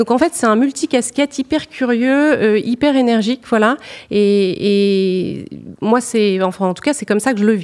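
Her pitch fairly high with ordinary variation, a woman speaks at a fairly slow pace. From northern France (Nord, Lille suburbs). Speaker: purchasing director. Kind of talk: interview. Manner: hesitant, many fillers.

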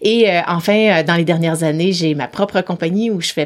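Here is a plain, everyday voice: a woman at a fairly low pitch, with ordinary pitch variation and a fairly quick pace. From Quebec City, Quebec. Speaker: psychologist and executive coach. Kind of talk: interview.

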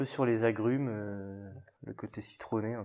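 A man speaks with ordinary pitch variation. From Burgundy, France (Mâconnais). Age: 20s. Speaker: winegrower. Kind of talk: casual interview.

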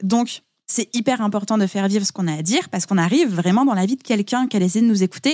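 A woman's somewhat breathy, fairly high voice at a very fast pace with lively intonation, in a dry, close sound with no echo, on a very clean recording with a silent background. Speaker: podcast and business mentor. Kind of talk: casual interview chat. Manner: carefully articulated.

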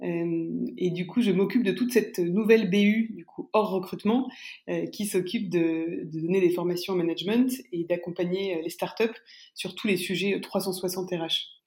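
Speaking at a fairly slow pace, a woman has a normal speaking voice. Her medium pitch shows ordinary variation. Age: young. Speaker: startup recruitment firm executive. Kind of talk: interview.

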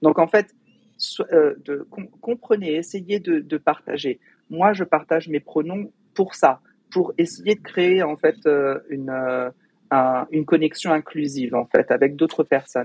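Speech at a very slow pace with ordinary pitch variation comes through dry and close, without echo. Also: man, fairly high pitch for a man. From Paris suburbs, France. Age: 40s. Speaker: diversity and inclusion trainer. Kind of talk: interview conversation. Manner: halting, many repetitions and fillers.

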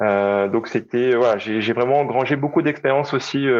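A male voice with normal pitch movement in quiet surroundings. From Réunion. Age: 30s. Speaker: personal trainer. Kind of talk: interview. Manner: halting.

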